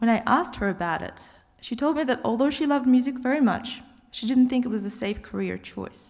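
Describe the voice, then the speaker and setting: A woman with an Australian accent, fairly quick pace and ordinary pitch variation. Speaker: graduate student, cellist. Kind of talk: graduation speech.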